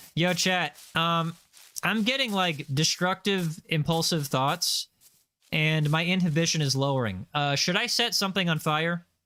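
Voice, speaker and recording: With a high pitch and ordinary pitch variation, a man with an American accent speaks at a fairly slow pace in a bright, sharp tone, his loudness very even, in a very clean recording with a silent background. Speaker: gaming streamer. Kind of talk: casual chat. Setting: live stream. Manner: animated.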